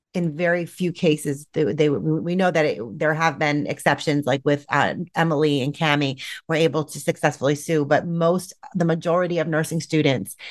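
A woman's very deep, low voice with fairly even intonation at a moderate pace. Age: 40s. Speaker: nurse. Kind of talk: casual chat.

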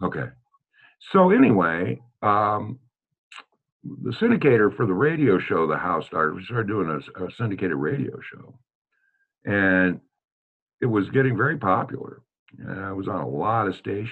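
Speaking in a Midwestern American accent, a man with a fairly low pitch uses lively intonation at a moderate pace, with long, frequent pauses and big swings in loudness. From US Midwest, Des Moines, Iowa. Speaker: preservationist and teacher. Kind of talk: interview, casual chat.

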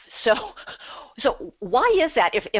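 A woman talks at a high pitch. Her voice makes very wide pitch swings. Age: 60s. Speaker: radio show host and relationship coach. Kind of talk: interview.

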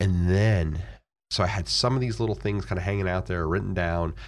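With an American accent, a man speaks at a very deep, low pitch in a somewhat breathy voice with lively intonation. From Florida. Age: 40s. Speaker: real estate investor. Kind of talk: interview. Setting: studio.

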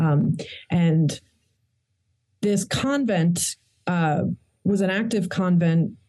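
A woman's medium-pitched, somewhat breathy voice with a dark, mellow tone and an American accent, very slow pace, and long, frequent pauses. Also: ordinary pitch variation. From Queens, New York. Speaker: historian and author. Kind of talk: interview.

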